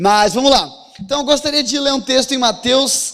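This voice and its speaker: A man speaks with ordinary pitch variation. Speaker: pastor. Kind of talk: sermon. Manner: fast.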